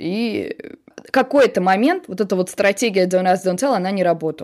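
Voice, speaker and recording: A woman speaks with an unremarkable speaking voice at a medium pitch. Her intonation is lively. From Russia, Samara. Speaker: journalist and producer. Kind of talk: interview, personal conversation.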